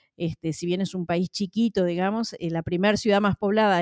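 In a Uruguayan accent, a woman speaks fairly quickly with a medium pitch and a dark, mellow tone, the sound dry and close with no echo. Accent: Uruguayan Spanish (Rioplatense). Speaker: social worker and singer. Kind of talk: interview. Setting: remote call.

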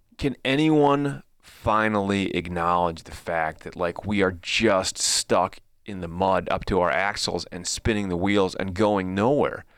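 In a very clean recording with a silent background, a man with a Chicago-area accent speaks fairly slowly at a very deep, low pitch with ordinary pitch variation. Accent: Chicago-area Midwestern American. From Chicago suburbs, US Midwest. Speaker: podcast host. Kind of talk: casual chat.

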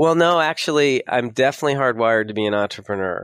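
Someone with a Californian accent speaks with ordinary pitch variation in a dry, close recording with no echo. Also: man. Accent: Californian American. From US West Coast (San Diego, California). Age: 50s. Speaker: financial advisor and software company founder. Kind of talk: interview.

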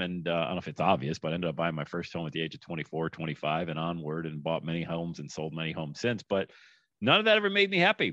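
This man's voice sits very deep and low. He rattles along at a very fast pace. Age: 50s. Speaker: podcast host. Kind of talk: casual interview chat.

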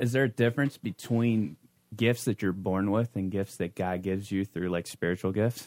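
With an unremarkable speaking voice, a man talks at a moderate pace and fairly low pitch with ordinary pitch variation, in a dry, close sound with no echo on a very clean recording with a silent background. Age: 30s. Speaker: youth pastor. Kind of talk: casual chat.

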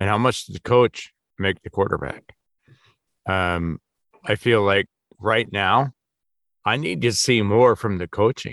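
A man with an Upper Midwest accent speaks fairly slowly in a fairly low voice, with long, frequent pauses. The sound is dry and close with no echo against a quiet background. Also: ordinary pitch variation. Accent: Upper Midwest American. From Wisconsin. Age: 50s. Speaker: sports podcast co-host. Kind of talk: casual chat.

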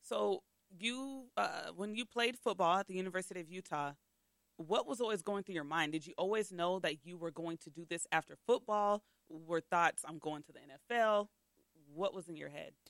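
A woman talks at a moderate pace in a normal speaking voice, medium in pitch, with big swings in loudness. The sound is dry and close, with no echo. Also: ordinary pitch variation. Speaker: podcast host. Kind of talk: casual podcast interview.

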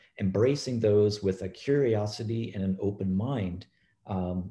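A man talks in a fairly low pitch with a dark, mellow tone. His voice is somewhat breathy, and his intonation stays fairly even. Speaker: professor of pharmacology. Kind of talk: panel discussion.

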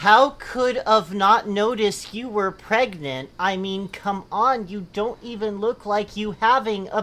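A reading voice, unforced

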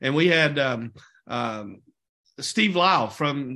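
In an American accent, a man speaks with audible room echo around him. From Oklahoma. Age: 40s. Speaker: network marketing team leader. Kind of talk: sales team training call. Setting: conference call.

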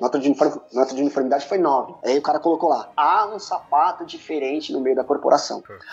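The speech moves at a fairly quick pace with hardly any pauses and big swings in loudness, over noticeable background noise. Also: man, fairly high pitch for a man, ordinary pitch variation. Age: 40s. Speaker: percussionist. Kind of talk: casual chat.

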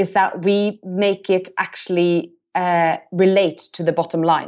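A woman speaks with a Norwegian accent. The background is quiet. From Norway. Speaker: marketing agency CEO. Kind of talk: interview.

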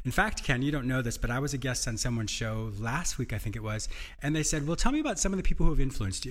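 Speaking very fast, a man with a fairly high pitch sounds somewhat breathy and uses lively intonation. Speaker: podcast host and psychotherapist. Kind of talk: interview and self-help talk. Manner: fast talker; enthusiastic, laughs often.

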